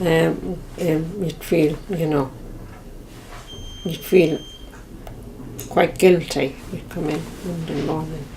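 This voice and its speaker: Very slow Irish-accented speech with long, frequent pauses and fairly even intonation, amid noticeable background noise and audible room echo. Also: woman, very deep, low pitch for a woman. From west of Ireland. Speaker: Irish emigrant. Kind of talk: reminiscence interview. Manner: halting.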